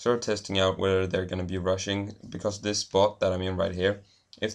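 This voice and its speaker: A man with a Swedish accent, his very deep, low voice flat and monotone, over a quiet background. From Sweden. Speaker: gaming commentator. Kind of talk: gameplay commentary. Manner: hesitant, many fillers.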